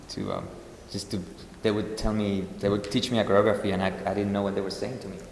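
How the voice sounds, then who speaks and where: Over noticeable background noise and audible room echo, a man with a slight Spanish accent talks at a very fast pace in a fairly low pitch with monotone, flat intonation. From Spain. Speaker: ballet dancer. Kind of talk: interview Q&A. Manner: halting, many fillers.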